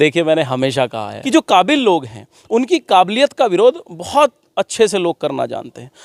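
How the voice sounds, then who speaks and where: A man's high voice makes very wide pitch swings, and the sound is dry and close, with no echo. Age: 30s. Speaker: politician. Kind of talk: interview. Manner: halting.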